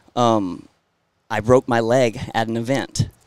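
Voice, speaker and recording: With a Southern US accent, a man speaks at a medium pitch. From Florida, US. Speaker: rodeo clown and entertainer. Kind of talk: casual interview chat. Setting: outdoors at a bull riding event. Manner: halting, repeats words.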